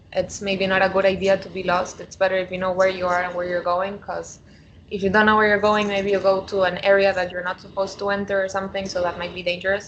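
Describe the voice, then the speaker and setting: Very fast, monotone, flat speech from a woman with a Spanish accent. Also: medium pitch for a woman. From Argentina. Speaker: coaching client. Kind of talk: coaching conversation. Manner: hesitant, many fillers.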